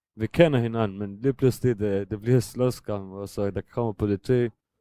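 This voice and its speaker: The speaker talks at a fairly slow pace with a non-native accent, in a dark, mellow tone with ordinary pitch variation. The sound is dry and close with no echo, and the recording is very clean over a silent background. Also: man. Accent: non-native Danish. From Syria, Damascus. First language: Arabic (speaking Danish). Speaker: refugee and drug user. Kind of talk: interview. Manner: halting.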